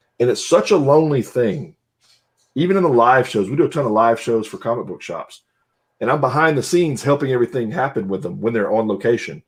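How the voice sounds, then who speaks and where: A man with an American accent talks at a fairly quick pace. His intonation is lively over a quiet background. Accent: Southern US accent that comes and goes. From Southwest Louisiana. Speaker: podcast co-host. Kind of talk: casual chat.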